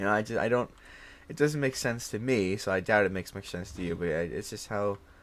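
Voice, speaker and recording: A man with a New York accent speaks in a fairly low pitch with lively intonation. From Brooklyn, New York. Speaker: streamer. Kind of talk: casual monologue. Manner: fast; animated.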